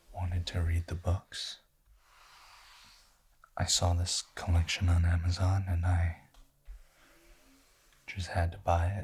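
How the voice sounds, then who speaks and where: A man whispers, soft-spoken and somewhat breathy. He goes at a fairly slow pace with long, frequent pauses. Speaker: ASMR creator. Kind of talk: book review, ASMR. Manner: soft-spoken, whispered.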